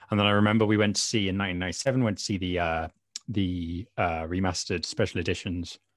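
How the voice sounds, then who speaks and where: Very fast and very deep, a man's low-pitched voice carries a British accent. His intonation stays fairly even. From Britain. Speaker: fanzine contributor. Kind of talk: casual interview.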